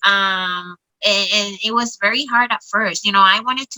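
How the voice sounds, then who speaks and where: A woman speaks with a Spanish accent at a fairly slow pace, with ordinary pitch variation. The sound is dry and close, with no echo. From Puerto Rico. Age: 40s. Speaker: social worker. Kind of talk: interview testimony.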